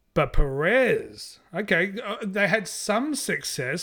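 An animated tone marks this man's speech. The recording is very clean, with a silent background. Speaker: podcast host, Formula One commentator. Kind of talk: comedic rambling banter. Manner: animated, jokey, over-the-top; fast rambling, self-mocking.

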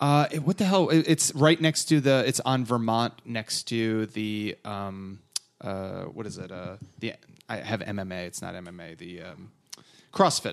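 Using lively intonation, a man with an American accent and a medium pitch speaks at a very slow pace. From northern New Jersey. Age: 30s. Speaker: comedian and podcaster. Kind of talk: casual chat.

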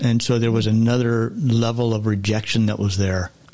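Here a man speaks at a moderate pace in an ordinary speaking voice, with a medium pitch and fairly even intonation. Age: 60s. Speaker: podcast guest sharing life story. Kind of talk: testimony.

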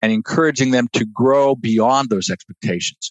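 In an ordinary speaking voice, a man of medium pitch speaks fairly slowly with an American accent. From Ohio. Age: 60s. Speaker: finance administrator at a university.

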